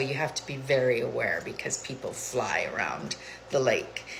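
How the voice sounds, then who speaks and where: A woman talks at a moderate pace. Room echo and background noise are both noticeable. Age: 60s. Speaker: lifestyle vlogger. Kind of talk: casual vlog monologue. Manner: casual, hesitant with frequent fillers.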